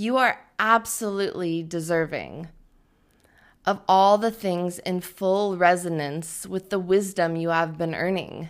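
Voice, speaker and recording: At a fairly slow pace, a woman with an unremarkable speaking voice talks at a fairly low pitch with fairly even intonation. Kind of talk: spoken word poetry, rhymed and self-written. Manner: measured, rhythmic, earnest delivery; warm and encouraging, ends with a playful laugh.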